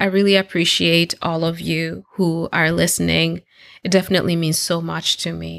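This is a woman speaking. Her pitch is fairly low. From Kenya, Nairobi (moved to US at 14). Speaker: podcast host. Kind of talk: solo podcast monologue.

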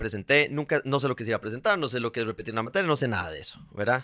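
Recorded very cleanly against a silent background, a man's bright, sharp tone comes through with a dry, close sound and no echo. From Costa Rica, Heredia. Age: 30s. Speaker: actor and TV presenter. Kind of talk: interview.

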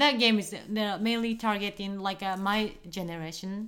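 In a very clean recording with a silent background, a speaker with a Japanese accent talks fairly slowly with fairly even intonation. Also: woman. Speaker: co-host, wife. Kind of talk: casual chat. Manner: nervous, hesitant; soft-spoken.

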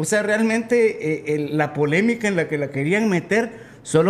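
Speaking with a Guatemalan accent, a man keeps a moderate pace and lively intonation. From Guatemala City. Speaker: musician. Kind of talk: casual interview.

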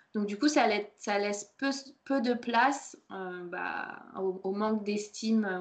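The woman's voice sits at a medium pitch. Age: 30s. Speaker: podcast host, personal development. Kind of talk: recorded masterclass, conversational presentation. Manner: hesitant, many fillers.

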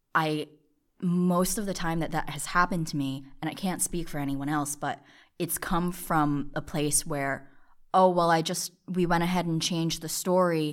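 A woman with an ordinary speaking voice talks at a moderate pace in a fairly low pitch with fairly even intonation, on a very clean recording with a silent background. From New Jersey. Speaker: college student, newspaper outreach manager. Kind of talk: casual interview.

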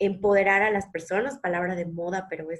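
A woman's unremarkable speaking voice at a medium pitch and a moderate pace. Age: 30s. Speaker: nutritionist podcast co-host. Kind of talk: casual conversational podcast.

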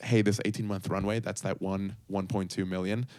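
A man with an unremarkable speaking voice and a fairly low pitch talks at a fairly quick pace on a very clean recording with a silent background. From Puerto Rico and Chicago, Colombian family. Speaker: startup co-founder and former TV performer. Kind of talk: interview.

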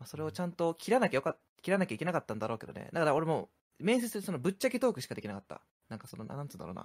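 A man talks at a very fast pace with vocal fry and a fairly high pitch, swinging it very widely, his sound dry and close with no echo. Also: big swings in loudness. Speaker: podcast co-host. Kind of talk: casual chat.

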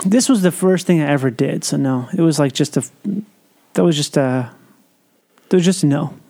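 Soft-spoken and at a moderate pace, a man with a fairly high pitch keeps his loudness very even, uses ordinary pitch variation and leaves long, frequent pauses. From US Midwest. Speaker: actor and comedian. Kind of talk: casual chat.

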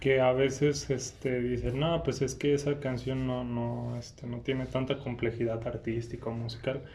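A man speaks in a flat monotone with hardly any pauses, in a room with audible echo. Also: medium pitch for a man, moderate pace. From Irapuato, Mexico. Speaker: podcast host. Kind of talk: casual interview. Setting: museum, in person.

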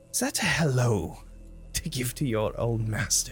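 A man's put-on character voice at a medium pitch and moderate pace, with clear background noise. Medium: actual play. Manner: commanding, coldly expectant; calm, condescending.

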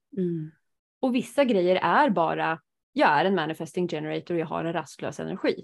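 An ordinary speaking voice moves at a fairly quick pace. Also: woman, fairly low pitch for a woman, lively intonation. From rural Sweden. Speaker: podcast host, human design reader. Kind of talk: casual chat.

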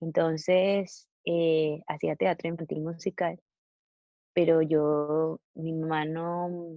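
At a very slow pace, a woman talks with a fairly low pitch and monotone, flat intonation. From Venezuela. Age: 20s. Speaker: singer-songwriter. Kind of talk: casual interview. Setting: video call.

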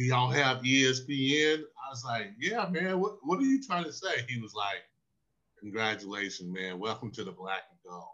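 A man with a Southern US accent, moderate pace, very wide pitch swings, and big swings in loudness. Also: medium pitch for a man. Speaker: former pro football linebacker. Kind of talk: interview storytelling.

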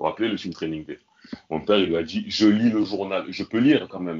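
In a plain, everyday voice, a man speaks at a fairly quick pace and fairly low pitch, with ordinary pitch variation. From France, Marseille. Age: 40s. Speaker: son of a former football club president. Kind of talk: podcast interview.

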